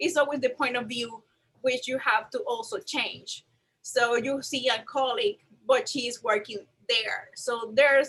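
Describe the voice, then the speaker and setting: A woman speaks in a Puerto Rican accent at a high pitch. Her pace is fairly slow and her intonation lively. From Puerto Rico. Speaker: museum registrar. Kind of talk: panel discussion.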